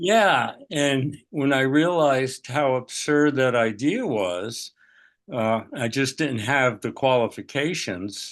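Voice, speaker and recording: Speaking very slowly at a medium pitch, a man uses lively intonation against a quiet background. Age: 80s+. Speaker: psychotherapist. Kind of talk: interview. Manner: halting.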